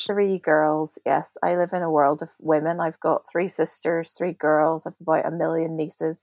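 Speaking with a Northern Irish accent, a woman talks at a moderate pace and fairly low pitch, with monotone, flat intonation and hardly any pauses. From Belfast, Northern Ireland. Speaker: podcast guest, prayer ministry director.

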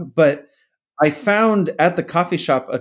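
With an American accent and a plain, everyday voice, a man talks at a moderate pace with ordinary pitch variation on a very clean recording with a silent background. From US Southwest, Phoenix, Arizona. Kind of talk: interview testimony.

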